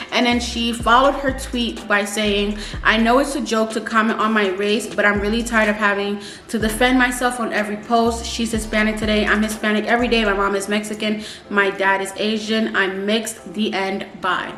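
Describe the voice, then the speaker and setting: A woman with a fairly high pitch and fairly even intonation speaks at a fairly quick pace against noticeable background noise. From New York, US. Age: young. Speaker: YouTuber. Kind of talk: casual commentary to camera. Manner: chatty.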